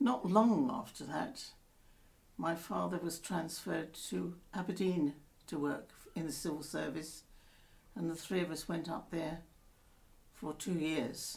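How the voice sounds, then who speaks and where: A woman speaks with fairly low pitch and ordinary pitch variation, at a fairly slow pace. Her long pauses come often, and room echo is audible. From London, England. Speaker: grandmother telling life story. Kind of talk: oral history interview.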